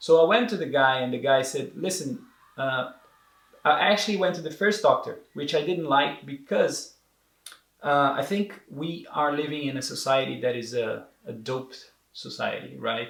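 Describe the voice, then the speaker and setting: Using lively intonation, a man with a Portuguese accent talks at a moderate pace in a fairly high pitch. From Brazil. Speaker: entrepreneur sharing depression experience. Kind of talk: interview. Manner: halting, many repetitions and fillers.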